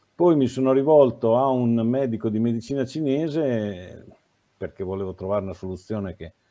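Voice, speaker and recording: A man's voice at a moderate pace, with big swings in loudness. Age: 60s. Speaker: former nurse, health educator; health educator. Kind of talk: interview. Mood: calm, reflective. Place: home room. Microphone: video call.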